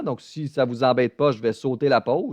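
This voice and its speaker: Over a quiet background, the speaker talks at a moderate pace in a Beauce accent, with a dry, close sound and no echo. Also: man. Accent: Québécois French, Beauce. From Quebec, Beauce region. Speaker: math teacher. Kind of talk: online lecture. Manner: talkative, casual and joking.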